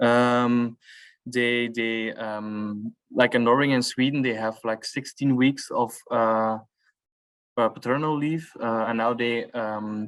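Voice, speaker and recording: Against a quiet background, a man with a medium pitch speaks very slowly in a flat monotone. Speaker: coordinator of a fathers' learning network. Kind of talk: workshop discussion. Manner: halting, many fillers.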